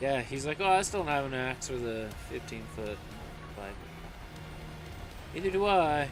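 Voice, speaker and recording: Over music in the background and audible room echo, a man with a fairly high pitch and lively intonation speaks at a moderate pace with long, frequent pauses. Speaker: streamer. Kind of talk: casual chat.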